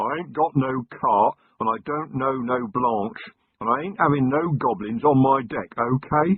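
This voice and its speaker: Man's put-on character voice, gruff and growling, at a medium pitch and moderate pace. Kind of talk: ungrammatical, rough. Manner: growling, gruff.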